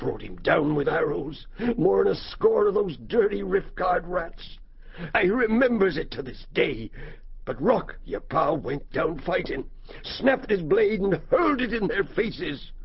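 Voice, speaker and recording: At a moderate tempo, a man delivers his lines in a put-on character voice. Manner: rueful, anxious, repeats phrases.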